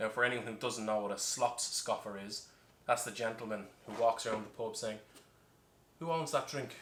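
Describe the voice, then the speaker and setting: A man with an Irish accent and lively intonation. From Ireland. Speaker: bartender. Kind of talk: tutorial with comic storytelling.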